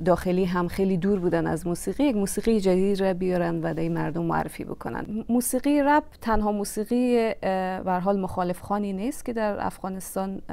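This woman talks fairly quickly. The way her pitch varies is ordinary. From Afghanistan. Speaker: singer and composer; interview guest. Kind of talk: interview. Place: studio. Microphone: lapel.

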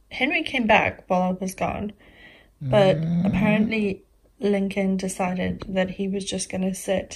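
Somewhat breathy, a woman speaks at a fairly slow pace over light background noise. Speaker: pet vlogger. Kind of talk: casual vlog chat. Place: home room. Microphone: phone near.

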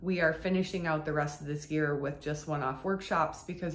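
The speech moves at a fairly quick pace with fairly even intonation. Room echo is audible. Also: woman. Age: 40s. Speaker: burlesque performer. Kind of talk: casual vlog update. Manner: hesitant, many fillers. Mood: reflective, calm. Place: home room.

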